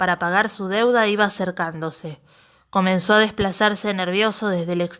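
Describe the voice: The speaker does plain reading aloud, with intonation that stays fairly even.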